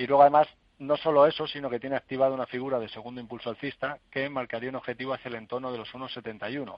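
Talking at a very fast pace in a medium pitch, a man keeps a monotone, flat intonation while his loudness swings widely. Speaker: stock market analyst. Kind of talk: radio phone-in market analysis.

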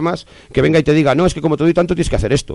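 A man's voice with vocal fry, at a very fast pace. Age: 40s. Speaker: neighborhood association spokesman. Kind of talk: interview. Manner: hesitant, many fillers.

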